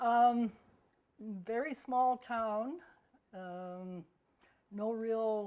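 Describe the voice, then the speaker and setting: A very slow woman's voice with a western Canadian accent, a dark, mellow tone, a fairly high pitch, and long, frequent pauses. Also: ordinary pitch variation. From Vancouver, Canada. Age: 80s+. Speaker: senior local resident. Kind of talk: oral history interview.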